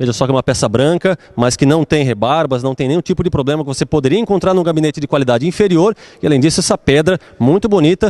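With a Brazilian accent, a man talks at a fairly quick pace in a fairly high voice, his tone animated and upbeat and his intonation lively. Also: dry sound with no echo. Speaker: store promo presenter. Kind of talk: street-seller pitch in a store, promotional ad. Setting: in a store, shown on screen. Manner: animated, fast, upbeat hard-sell pitchman; repetitive, emphatic, talking straight to the viewer. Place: shop. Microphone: handheld.

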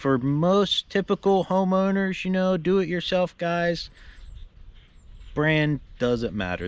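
Recorded with a dry sound and no echo, a man talks at a fairly slow pace. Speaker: tractor owner. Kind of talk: casual vlog chat. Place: garden. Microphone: phone near.

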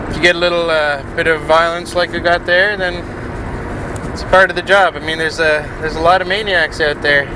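A man's high-pitched, monotone voice with flat intonation, against noticeable background noise. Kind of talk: comedic in-character confrontation.

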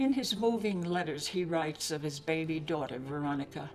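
Clear music plays behind a woman with a very deep, low pitch. Her intonation is lively. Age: 80s+. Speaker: poet. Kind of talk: poetry reading. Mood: earnest, pleading. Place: home room.

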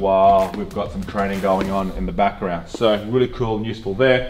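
Music plays in the background as a man talks at a fairly quick pace. His voice is fairly low, with fairly even intonation. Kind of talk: casual tour commentary. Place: gym.

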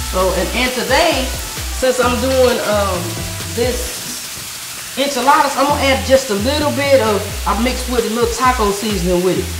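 A woman speaking at a moderate pace, with clear music in the background. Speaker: cooking show host. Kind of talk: cooking tutorial. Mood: warm, playful. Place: kitchen.

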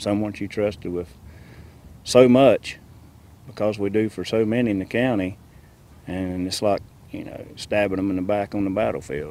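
A dark, mellow tone with fairly even intonation moves at a moderate pace. The sound is dry with no echo, and the pauses are long and frequent. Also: man, fairly low pitch for a man. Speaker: veterans group member, interviewee. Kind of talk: emotional interview remarks. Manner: halting, emotional. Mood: upset, disbelieving. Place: open country. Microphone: lapel.

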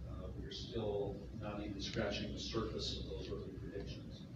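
A man's voice in strong room echo, with noticeable background noise. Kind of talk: press briefing statement. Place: hall.

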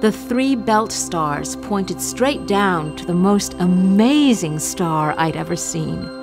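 Over music in the background, a woman speaks at a very slow pace in a warm tone. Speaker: narrator. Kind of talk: planetarium show narration. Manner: warm, storytelling.

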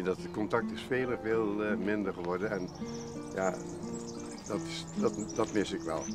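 A man speaks with clear music in the background. The sound is dry, with no echo. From Netherlands. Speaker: documentary subject. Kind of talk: documentary interview answer. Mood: cheerful, reflective. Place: open country.

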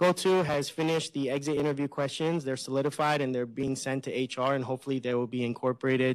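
A man talks with fairly even intonation. The background is quiet. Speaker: college staff, committee co-chair; presenter. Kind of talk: staff meeting update. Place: hall. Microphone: podium.

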